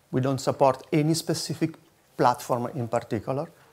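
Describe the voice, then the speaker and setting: A man with an Italian accent speaks at a medium pitch with ordinary pitch variation. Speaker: foundation security strategist. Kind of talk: conference presentation.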